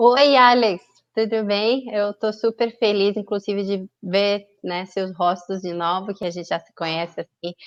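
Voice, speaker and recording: The delivery is fairly slow, in a Colombian accent. The sound is dry and close with no echo. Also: woman. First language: Spanish (speaking Portuguese). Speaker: tourism promotion representative. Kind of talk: webinar panel discussion.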